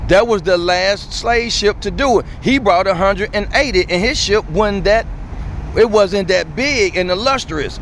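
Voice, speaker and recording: Over light background noise, a man speaks at a very slow pace with high pitch, ordinary pitch variation and a dry sound with no echo. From US South, Montgomery, Alabama. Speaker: YouTuber. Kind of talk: casual street chat. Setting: outdoors on a city street. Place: street. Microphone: phone near.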